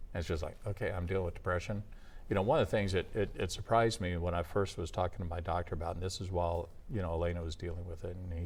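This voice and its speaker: A man talks very fast in a very deep, low, somewhat breathy voice. His intonation stays fairly even. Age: 60s. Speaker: former radio announcer. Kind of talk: interview. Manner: hesitant, many fillers.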